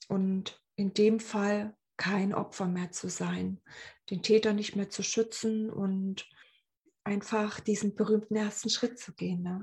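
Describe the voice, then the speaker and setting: A woman's somewhat breathy, medium-pitched voice, very slow and monotone with flat intonation. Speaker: podcast host, abuse survivor. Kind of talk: personal monologue. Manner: hesitant, many filler sounds.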